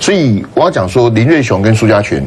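Light background noise runs beneath talking delivered at a fairly quick pace. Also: man. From Taiwan. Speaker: political commentator. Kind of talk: political talk show discussion. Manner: stammering repetitions. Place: studio. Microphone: lapel.

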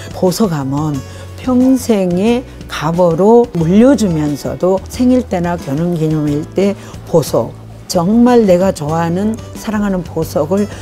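Faint music plays in the background as the voice moves at a very slow pace. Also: woman. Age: 70s. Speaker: market merchant, woodcraft shop owner. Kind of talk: interview answer, shop promotion to camera. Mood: warm, grateful. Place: shop. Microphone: lapel.

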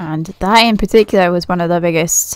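Speaking at a fairly slow pace with a British accent, a woman uses a relaxed tone, a fairly low pitch and ordinary pitch variation. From Britain. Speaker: gaming YouTuber, Minecraft server builder. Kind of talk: casual gameplay walkthrough commentary. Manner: relaxed, chatty with frequent laughs.

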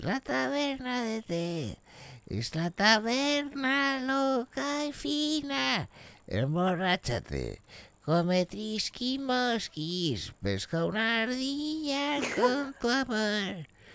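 The delivery is very slow. Its pitch swings very widely. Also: man, extremely high pitch for a man. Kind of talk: comic overacting. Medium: game stream. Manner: erratic, bombastic, rambling, sudden outbursts.

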